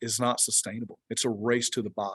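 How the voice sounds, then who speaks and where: A man speaks at a fairly quick pace with a Georgia accent, in a dry, close sound with no echo. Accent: Georgia Southern US. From US, Georgia. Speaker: research organization executive director. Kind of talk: webinar presentation. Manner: animated.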